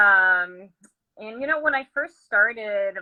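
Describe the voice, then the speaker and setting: A woman speaks with a Portuguese accent and lively intonation. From Brazil. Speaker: fiber artist and yarn dyer. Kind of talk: interview.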